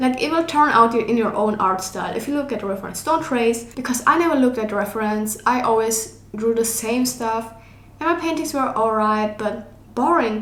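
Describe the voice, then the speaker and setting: A woman with a non-native accent, fairly high pitch, ordinary pitch variation and a moderate pace, with audible room echo. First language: not English. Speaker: digital artist and art YouTuber. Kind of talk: casual tutorial. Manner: casual, filler-heavy speech.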